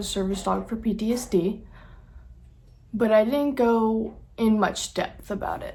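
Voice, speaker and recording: Fairly slow, fairly high-pitched speech from a woman, with room echo audible. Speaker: vlogger. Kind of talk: casual vlog talk. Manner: halting, with fillers.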